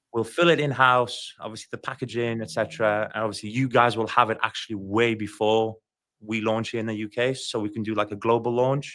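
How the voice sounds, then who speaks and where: Fairly quick, fairly even speech from a man at medium pitch, bright and sharp in tone, on a very clean recording with a silent background. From Ukraine. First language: Ukrainian. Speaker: car care brand founder. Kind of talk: casual interview.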